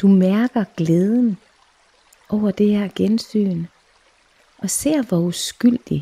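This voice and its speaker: A woman of medium pitch speaks at a very slow pace in a somewhat breathy, soothing, calm voice with a dark, mellow tone. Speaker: meditation guide / clairvoyant. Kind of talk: guided meditation. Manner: slow, soothing, calm.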